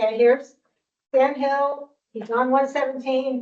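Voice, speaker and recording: A woman's high voice at a fairly slow pace. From Vermont, Colchester. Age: 60s. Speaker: local resident speaking at public hearing. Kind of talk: public comment at hearing.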